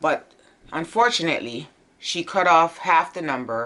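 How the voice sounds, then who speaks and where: With lively intonation and a bright, sharp tone, a woman speaks in an animated way at a moderate pace. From Jamaica. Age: 50s. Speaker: vlogger. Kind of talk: casual chat.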